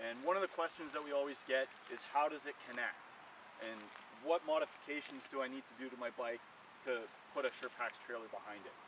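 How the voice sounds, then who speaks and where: A man talks at a fairly quick pace, the sound dry with no echo and with noticeable background noise. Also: ordinary pitch variation. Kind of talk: product demo tutorial. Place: open country. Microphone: camera far.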